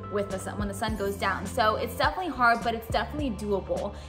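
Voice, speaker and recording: A woman at a fairly quick pace, with clear music in the background. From Miami. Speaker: TV news anchor. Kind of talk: casual talk to camera. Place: studio.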